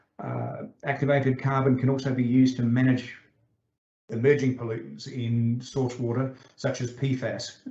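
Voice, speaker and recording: A man's medium-pitched, flat, monotone voice with audible room echo and music in the background. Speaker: invited lecturer, groundwater engineer. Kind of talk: online conference lecture. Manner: many filler sounds, self-described as somewhat fast.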